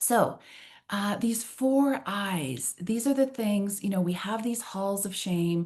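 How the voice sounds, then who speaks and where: Her tone is dark and mellow. A woman with a Canadian accent talks at a fairly slow pace. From Canada. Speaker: trainer and workshop facilitator. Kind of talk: online workshop roundtable. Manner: animated.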